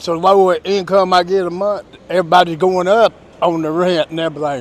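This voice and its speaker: A man with a Southern US accent, high pitch, fairly even intonation and a very fast pace. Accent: Southern US (Georgia). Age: 60s. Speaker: street interviewee. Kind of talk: street interview.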